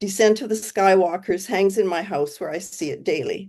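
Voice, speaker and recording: Her tone is dark and mellow. The woman speaks at a medium pitch and a moderate pace. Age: 70s. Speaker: spiritual community member giving a presentation. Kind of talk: presentation. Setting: video call.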